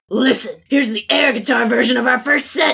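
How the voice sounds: Putting on a character voice, a woman speaks at a fairly high pitch and moderate pace with a bright, sharp tone, a husky, rough edge, vocal fry and ordinary pitch variation.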